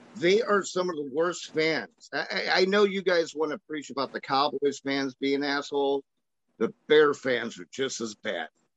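A normal speaking voice from a man with an American accent, fairly high in pitch with ordinary pitch variation, at a fairly slow pace, in dry, close sound with no echo. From Chicago, US Midwest. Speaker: podcast host. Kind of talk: casual chat. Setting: phone call.

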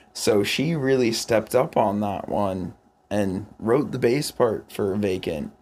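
On a very clean recording with a silent background, a man talks at a very slow pace and a medium pitch. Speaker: rock musician and songwriter. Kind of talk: casual chat. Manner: animated.

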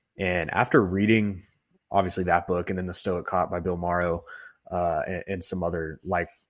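A man's very deep, low voice in an American accent, monotone and flat, at a moderate pace on a very clean recording with a silent background. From Texas. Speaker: police academy recruit and Air Force veteran. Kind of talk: casual interview.

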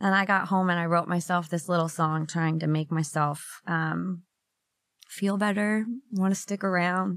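Over a silent background on a very clean recording, a woman with an unremarkable speaking voice talks at a moderate pace, her fairly low pitch held in fairly even intonation and very even loudness. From Minnesota. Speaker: songwriter. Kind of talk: interview.

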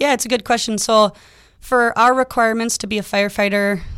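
An unremarkable speaking voice comes from a woman talking at a moderate pace with ordinary pitch variation. The recording is very clean, with a silent background. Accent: American. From Minnesota, Twin Cities (Lakeville). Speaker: firefighter and EMT. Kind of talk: radio interview.

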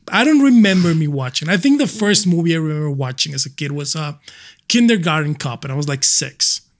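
Lively intonation marks this man's normal speaking voice, which is fairly high-pitched and moves at a fairly quick pace. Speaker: MMA journalist and analyst. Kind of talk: casual chat.

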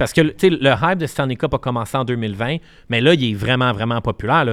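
The speaker is a man with a medium-pitched voice. He goes fairly quickly, and his pitch varies in a normal way. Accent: Quebec. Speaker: podcast co-host, media entrepreneur. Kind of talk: casual chat.

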